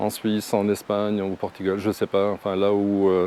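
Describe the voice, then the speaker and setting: Noticeable background noise accompanies a man whose pitch sits fairly low. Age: 60s. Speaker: travel vlogger, retiree. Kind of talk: casual vlog talk to camera. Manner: hesitant, many fillers.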